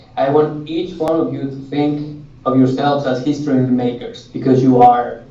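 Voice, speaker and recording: Over noticeable background noise and audible room echo, a man speaks at a fairly high pitch with fairly even intonation. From Mexico, Jalisco. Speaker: author. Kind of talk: classroom Q&A talk. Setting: classroom with students.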